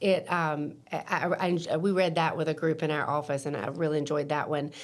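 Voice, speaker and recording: At a moderate pace, a woman speaks with fairly even intonation in an unremarkable speaking voice. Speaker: real estate broker. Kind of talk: podcast interview. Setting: in person.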